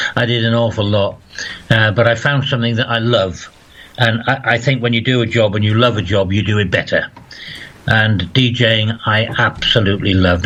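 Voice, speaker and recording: Against noticeable background noise, a man talks in a flat monotone. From northeast England, County Durham. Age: 60s. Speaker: former radio DJ. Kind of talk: interview.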